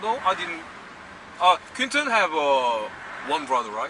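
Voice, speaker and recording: Amid noticeable background noise, a man with a Korean accent speaks with very wide pitch swings. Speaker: filmmaker. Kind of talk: casual chat. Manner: halting.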